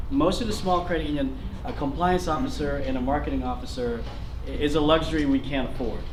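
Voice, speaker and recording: Noticeable background noise and audible room echo surround a man speaking at a very fast pace. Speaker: credit union CEO. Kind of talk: conference presentation. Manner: loud. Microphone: no microphone used.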